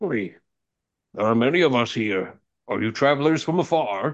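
A man performs a put-on character voice at a moderate pace. The background is quiet. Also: medium pitch for a man. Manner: puzzled.

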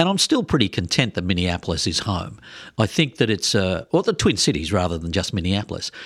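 On a very clean recording with a silent background, a man with an Australian accent talks at a fairly low pitch with lively intonation. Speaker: podcast co-host, former sports TV presenter. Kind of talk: casual interview chat.

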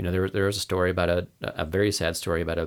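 This man's voice sits very deep and low, with fairly even intonation, on a very clean recording with a silent background. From US Pacific Northwest, Portland, Oregon. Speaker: outdoor ethics company founder. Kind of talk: casual interview chat.

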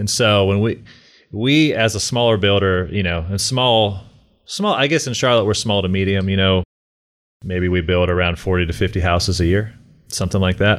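Pitched fairly low, this man has an unremarkable speaking voice, talking at a moderate speed with ordinary pitch variation. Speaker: real estate broker and builder sales lead. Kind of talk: casual interview.

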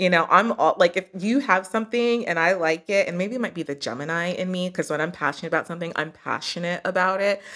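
On a very clean recording with a silent background, a woman with an American accent speaks very fast with hardly any pauses, using a medium pitch, ordinary pitch variation and a bright, sharp tone. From US, army family (Kentucky, Missouri, Germany). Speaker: entrepreneur and yoga teacher. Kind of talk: casual interview.

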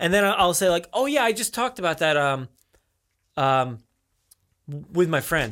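In an American accent, a man speaks at a moderate pace with a high pitch, a bright, sharp tone and very wide pitch swings. He takes long, frequent pauses, and the recording is very clean with a silent background. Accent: New Jersey, used here more than at work. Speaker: podcast host. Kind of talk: casual chat. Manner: casual, slangy delivery.

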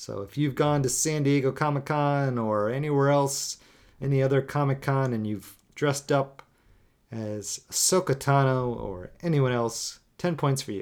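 The recording is very clean, with a silent background. A man speaks at a moderate pace in a fairly high pitch with ordinary pitch variation, a normal speaking voice. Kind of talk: game show host quiz-style banter, reading scored trivia questions with jokes.

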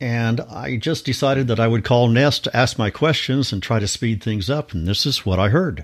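A man with a Midwestern American accent, medium pitch and ordinary pitch variation at a moderate pace, on a very clean recording with a silent background. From Kansas. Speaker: listener contributor. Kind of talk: recorded voice message.

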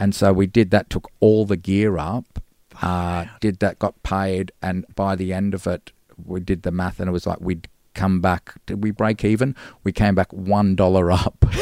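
A man speaks in a very deep, low, dark and mellow voice with an Australian accent, flat and monotone at a moderate pace. The recording is very clean with a silent background, dry and close with no echo. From Gold Coast, Australia. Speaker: musician. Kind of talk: casual chat.

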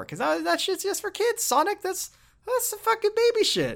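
A put-on character voice, squeaky and at an extremely high pitch. It moves at a moderate pace. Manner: dismissive, sneering.

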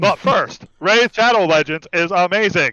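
A man's robotic, put-on character voice, high in pitch, deadpan in tone, at a moderate pace. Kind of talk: sponsor ad read. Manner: deadpan mock-advert.

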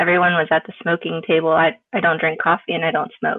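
A woman with a plain, everyday voice and an American accent speaks at a fairly low pitch with fairly even intonation. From Florida. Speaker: mental health advocate. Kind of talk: casual chat.

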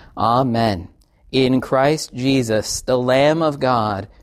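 Spoken at a very slow pace, the voice carries a solemn tone. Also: man. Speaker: pastor. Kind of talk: liturgical prayer and absolution, service. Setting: church. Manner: solemn, reverent; fervent, earnest prayer.

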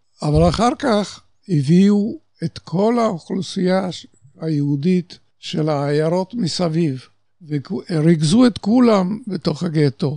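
This voice has a dark, mellow tone and a Polish accent. The pace is very slow, with lively intonation. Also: man. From Poland (Warsaw). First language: Polish (speaking Hebrew). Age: 80s+. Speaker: Holocaust survivor. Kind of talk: testimony.

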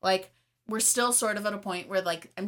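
A woman talks at a fairly quick pace with fairly even intonation. She has an ordinary speaking voice. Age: 20s. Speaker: podcast co-host. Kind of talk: casual chat. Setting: home recording, separate rooms.

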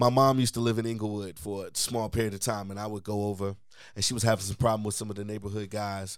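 On a very clean recording with a silent background, a man speaks at a very fast pace in a fairly low pitch and a monotone, flat intonation. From west side of Chicago. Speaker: podcast host. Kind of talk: casual interview conversation.

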